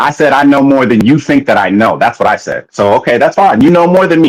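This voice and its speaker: A man with an American accent talks at a very fast pace in a fairly high pitch. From United States. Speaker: podcast co-host. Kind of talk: heated debate.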